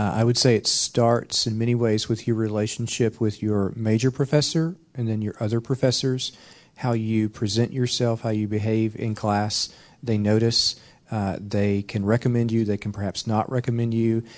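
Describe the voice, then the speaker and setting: Against a quiet background, a man speaks in a normal speaking voice at a medium pitch. His pace is moderate and his intonation fairly even. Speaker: university administrator. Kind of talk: panel discussion. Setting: stage with audience.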